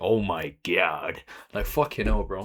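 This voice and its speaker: Doing a put-on character voice, a man speaks raspily at a fairly slow pace. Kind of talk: casual, slangy. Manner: masculine, exaggerated.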